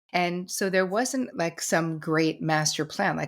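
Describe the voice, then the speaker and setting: In an American accent, a woman talks at a moderate pace with ordinary pitch variation. Hers is an unremarkable speaking voice, fairly low in pitch. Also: very clean recording, silent background. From New Jersey, US. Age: 60s. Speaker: therapist and author. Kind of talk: interview conversation.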